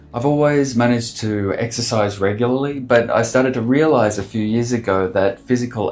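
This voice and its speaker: Music plays in the background behind a man at a medium pitch. He talks at a moderate pace with ordinary pitch variation. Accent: Australian. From Australia, Sydney. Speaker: artist and designer vlogger. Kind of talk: vlog monologue.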